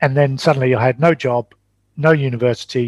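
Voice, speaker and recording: A man's fairly even intonation in a dry, close sound with no echo. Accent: English. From England. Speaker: traveling parent and entrepreneur. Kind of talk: interview.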